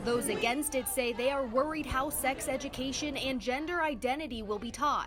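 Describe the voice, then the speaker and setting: Crowd noise behind a high-pitched woman, her intonation lively, with hardly any pauses. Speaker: TV news reporter. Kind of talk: TV news report.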